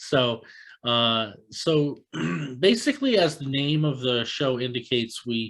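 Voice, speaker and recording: Recorded very cleanly with a silent background, a man speaks at a fairly slow pace in an American accent. His medium-pitched voice has ordinary pitch variation and is a normal speaking voice. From US, Tampa Florida. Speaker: chess podcast host. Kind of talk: casual interview.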